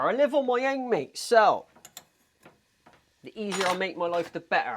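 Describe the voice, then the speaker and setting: A man with a strong Bristolian accent and a high pitch, very wide pitch swings, a moderate pace and long, frequent pauses. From England, Bristol. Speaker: vlogger. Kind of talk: casual vlog chat. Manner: casual, chatty.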